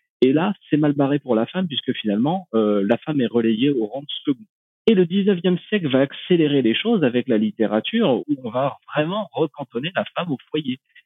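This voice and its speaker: This man's pitch sits fairly high and swings very widely. He talks at a moderate pace. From rural France. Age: 30s. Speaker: renewable energy researcher. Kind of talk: podcast interview. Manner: hesitant, many fillers.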